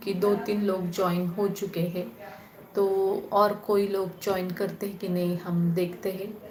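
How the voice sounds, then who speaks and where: A woman with a Marathi accent and fairly even intonation, plus noticeable background noise and audible room echo. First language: Marathi (speaking Hindi). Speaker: spiritual channel host. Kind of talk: live stream Q&A chat. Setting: live online call. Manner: casual, conversational.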